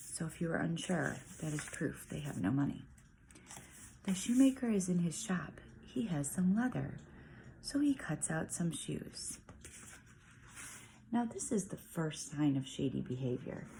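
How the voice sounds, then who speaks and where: Someone whispers, pausing long and often. The delivery is fairly slow. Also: woman. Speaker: parent reading picture books aloud. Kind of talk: reading aloud with commentary. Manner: whispering.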